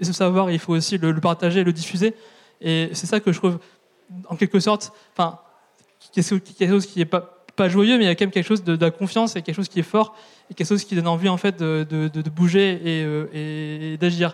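A man's high voice with fairly even intonation. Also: fairly quick pace. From France, southern Brittany. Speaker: activist. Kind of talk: panel discussion. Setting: stage with audience.

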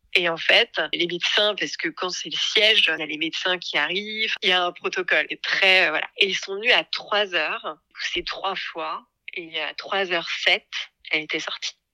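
Her voice is an unremarkable speaking voice: a woman at a medium pitch and fairly slow pace, with fairly even intonation and a dry, close sound with no echo. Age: 40s. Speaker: podcast creator, former marketing director. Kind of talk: personal testimony interview.

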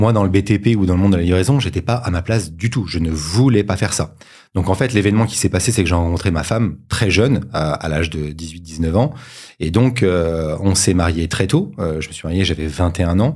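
Very deep and low in pitch, a man talks at a fairly quick pace with ordinary pitch variation, on a very clean recording with a silent background. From Paris suburbs, France (Sarcelles, Val-d'Oise). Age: 40s. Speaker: entrepreneur, former finance director. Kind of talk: interview. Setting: studio.

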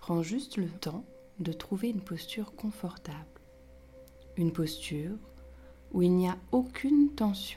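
With music in the background, a woman of medium pitch speaks fairly slowly in a soothing, calm tone, her intonation lively and her pauses long and frequent. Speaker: yoga teacher. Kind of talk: guided meditation. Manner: slow, soft-spoken, soothing; calm, gentle, with long pauses.

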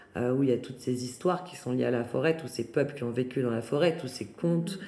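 Audible room echo surrounds a woman's voice. Her pitch is very deep and low, with ordinary variation. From France, Paris region. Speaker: artist and foundation founder. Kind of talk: interview. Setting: at her new home.

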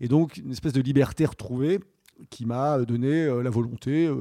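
A man speaks at a moderate pace in a medium pitch with ordinary pitch variation. His tone is dark and mellow, and the recording is very clean with a silent background. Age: 40s. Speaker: plastic surgery patient. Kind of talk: testimony. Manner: halting.

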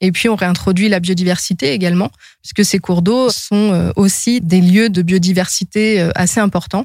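This woman has an ordinary speaking voice at a medium pitch. Her pace is moderate and her intonation fairly even. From France, Seine-Saint-Denis and Brittany. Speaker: environmental consultant. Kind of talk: interview monologue.

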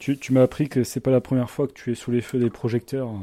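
Speaking at a fairly quick pace, a man with a dark, mellow tone and medium pitch keeps a monotone, flat intonation on a very clean recording with a silent background. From Montpellier, southern France. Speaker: podcast host. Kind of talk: casual chat. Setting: at guest's home.

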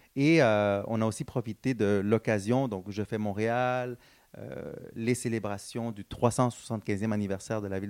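He talks at a fairly slow pace. This man has a medium pitch with ordinary pitch variation. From Montreal, Quebec. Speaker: social entrepreneur. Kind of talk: interview. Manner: hesitant, many fillers; energetic.

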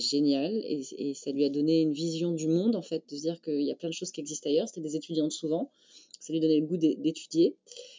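Talking at a fairly quick pace, a woman has a very deep, low-pitched voice. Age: 40s. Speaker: film industry networking founder. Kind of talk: casual interview. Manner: halting.

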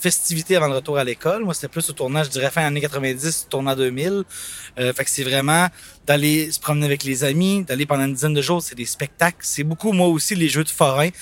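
Talking at a fairly quick pace, a man with an unremarkable speaking voice keeps a fairly high pitch and fairly even intonation. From Quebec City (Limoilou). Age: 30s. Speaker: nostalgic fair-goer. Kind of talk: casual reminiscing.

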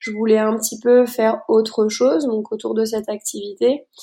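This woman's voice sits high in pitch yet carries a dark, mellow tone. The recording is very clean, with a silent background. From Luxembourg. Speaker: equine massage therapist. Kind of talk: interview.

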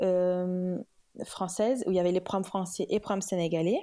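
A woman speaks at a moderate pace in a medium pitch with a dark, mellow tone. The recording is very clean, with a silent background. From Senegal (Kaolack, Dakar). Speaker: communications manager. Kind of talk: casual interview.

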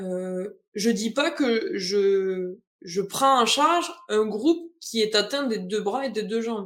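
A woman speaks with lively intonation. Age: 20s. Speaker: adapted physical activity coach. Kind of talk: interview.

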